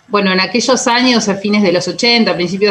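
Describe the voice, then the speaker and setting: Ordinary pitch variation marks this woman's speech. There is noticeable background noise in the recording. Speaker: radio journalist. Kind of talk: radio interview.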